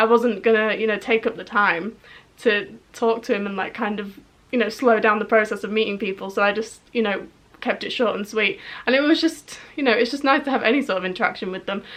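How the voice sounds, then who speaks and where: Speech comes at a fairly quick pace with a slight Yorkshire accent. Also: woman, fairly high pitch for a woman, ordinary pitch variation. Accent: slight northern English (Yorkshire). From northern England, Yorkshire. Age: 20s. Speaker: YouTube vlogger. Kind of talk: casual vlog storytelling.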